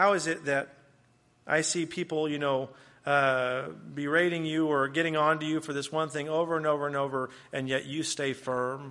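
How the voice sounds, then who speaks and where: In an American accent, a man speaks at a moderate pace with a fairly high pitch and a bright, sharp tone. His intonation is monotone and flat, and the background is quiet. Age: 20s. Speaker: guest preacher. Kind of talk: sermon. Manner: hesitant, many fillers.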